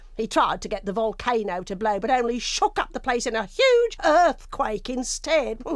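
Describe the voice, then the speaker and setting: A put-on character voice that sounds female and is high-pitched goes along at a moderate pace with hardly any pauses over light background noise. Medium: video game. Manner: chatty, affectionate, calls him love.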